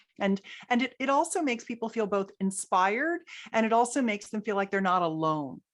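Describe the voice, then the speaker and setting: Here is an ordinary speaking voice at a fairly quick pace. The intonation is lively. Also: woman, fairly high pitch for a woman. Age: 60s. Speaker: sex educator and entrepreneur. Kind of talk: podcast interview.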